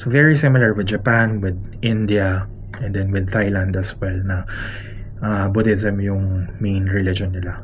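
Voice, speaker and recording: A man with a fairly low pitch talks at a fairly slow pace with fairly even intonation. Noticeable background noise and audible room echo are present. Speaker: travel vlogger. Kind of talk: casual vlog narration. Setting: hotel room. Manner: soft-spoken.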